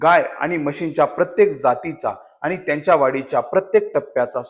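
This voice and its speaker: This man's voice sits at a high pitch. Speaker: voice actor. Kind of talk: brand commercial narration in Marathi for a cattle feed company. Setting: studio.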